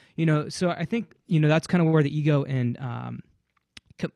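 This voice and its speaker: A man's fairly high, normal speaking voice at a fairly quick pace, with ordinary pitch variation and a dry, close sound with no echo. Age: 20s. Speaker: wedding DJ and production company owner. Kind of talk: casual chat.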